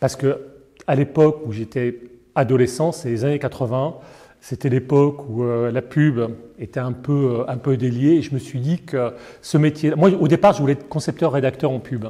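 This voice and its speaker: Speaking at a moderate pace, a man has a medium pitch, a dark, mellow tone and fairly even intonation. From Paris, France. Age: 60s. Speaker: foundation director. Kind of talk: interview. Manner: hesitant, many fillers.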